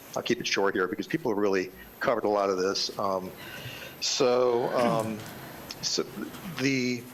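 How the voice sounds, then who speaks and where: Amid noticeable background noise, a man speaks in a medium pitch with very even loudness, ordinary pitch variation, and long, frequent pauses. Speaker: public commenter representing a homeowners association. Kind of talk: public comment at a county board meeting. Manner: fast.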